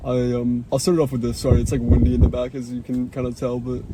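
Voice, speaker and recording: The speech is very fast, with monotone, flat intonation. There is noticeable background noise. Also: man. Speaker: vlogger. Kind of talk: casual vlog monologue. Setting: in a car.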